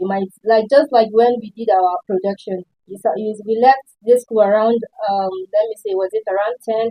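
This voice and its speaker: With a Nigerian accent, a woman speaks at a moderate pace in a fairly high voice. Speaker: student. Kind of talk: panel discussion.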